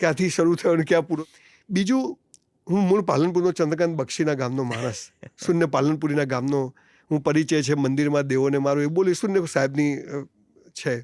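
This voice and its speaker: Heard in a very clean recording with a silent background, a man with a normal speaking voice talks at a fairly high pitch with ordinary pitch variation. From Gujarat, India (Palanpur). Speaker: motivational speaker. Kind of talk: interview.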